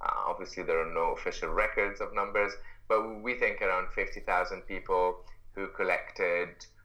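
Audible room echo follows speech delivered at a moderate pace. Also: man. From Egypt. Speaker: expo organizer, social entrepreneur. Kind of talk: interview. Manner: halting, many fillers.

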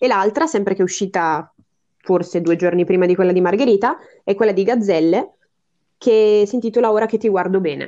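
Speaking at a fairly quick pace with long, frequent pauses, a woman has a dark, mellow tone, ordinary pitch variation and very even loudness. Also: medium pitch for a woman. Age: 20s. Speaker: podcast listener and guest. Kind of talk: casual interview. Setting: online call.

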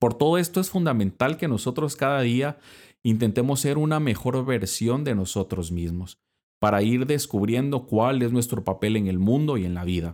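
A man talks at a moderate pace in a normal speaking voice, medium in pitch, with lively intonation. The recording is very clean, with a silent background. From Guatemala. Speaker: Dominican friar and podcast host. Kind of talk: religious reflection podcast.

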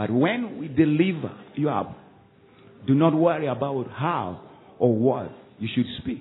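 Long, frequent pauses break up a man's speech, which has an animated tone and lively intonation. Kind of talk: sermon. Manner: animated, call-and-response preaching with rising exhortation; warm, earnest, teacherly tone.

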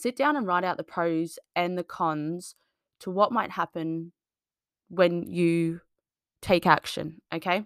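A woman's fairly low voice with an Australian accent and ordinary pitch variation, dry and close with no echo, on a very clean recording against a silent background. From Australia, small farming town. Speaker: fitness coach and podcast host. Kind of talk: solo monologue podcast. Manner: casual, filler-heavy.

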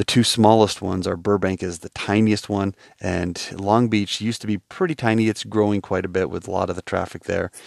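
The man has an American accent and a monotone, flat delivery. The sound is dry and close, with no echo. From New York. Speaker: travel podcaster. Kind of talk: casual monologue. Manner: halting, many fillers and restarts.

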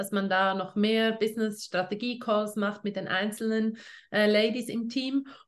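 A woman's voice at a fairly high pitch, an unremarkable speaking voice with a moderate pace and ordinary pitch variation. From Switzerland. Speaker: essential oils network marketing leader. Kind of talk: casual interview.

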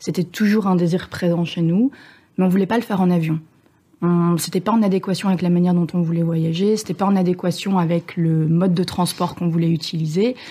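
A woman with a fairly low pitch and a dark, mellow, somewhat breathy tone talks at a fairly quick pace. Her loudness stays very even and her intonation fairly even, on a very clean recording with a silent background. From Belgium. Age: 30s. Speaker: sailor, former traveling professional. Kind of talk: casual interview.

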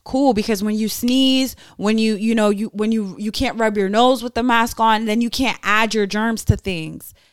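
At a moderate pace and with hardly any pauses, the speaker uses a normal speaking voice. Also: woman, fairly high pitch for a woman. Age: 20s. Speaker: podcast co-host. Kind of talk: casual chat. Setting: live stream on social media.

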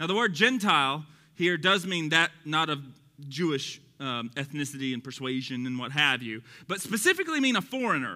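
In a Texan accent, a man sounds animated, his bright, sharp tone pitched fairly high, with lively intonation at a moderate pace. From Texas. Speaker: Bible teacher. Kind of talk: sermon-style Bible teaching. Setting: evening teaching to a live audience. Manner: animated, humorous.

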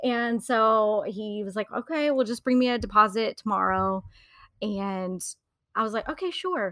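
With an American accent, a woman has an unremarkable speaking voice at a fairly high pitch. She keeps a moderate pace and ordinary pitch variation. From Wrightsville Beach, North Carolina. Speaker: business owner and fashion consultant. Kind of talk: casual interview chat.

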